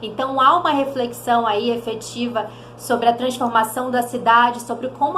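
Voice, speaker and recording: Noticeable background noise and audible room echo around a woman speaking in a high pitch at a moderate pace. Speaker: theatre educator, channel host. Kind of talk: educational vlog.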